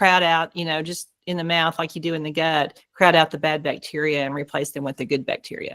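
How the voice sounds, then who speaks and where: A woman's fairly low voice with an American accent, at a moderate pace, in a dry, close sound without echo. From Oklahoma. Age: 60s. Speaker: dentist. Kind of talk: Q&A on a group video call.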